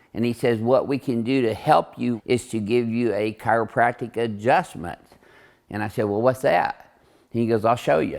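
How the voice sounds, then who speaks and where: An ordinary speaking voice from a man at medium pitch, moderate pace and fairly even intonation, on a very clean recording with a silent background. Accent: American. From southern Illinois, US. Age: 60s. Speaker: chiropractor. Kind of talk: casual chat; interview.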